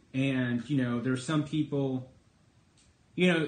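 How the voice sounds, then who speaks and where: A man speaks at a moderate pace in a somewhat breathy voice, with ordinary pitch variation. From Texas. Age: 30s. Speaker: political commentator and livestreamer. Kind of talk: casual livestream monologue. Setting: live stream broadcast. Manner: conversational, with many fillers.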